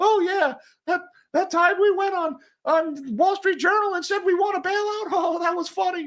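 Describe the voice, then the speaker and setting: In a put-on character voice of extremely high pitch, the speaker goes at a moderate pace. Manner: mocking, downplaying.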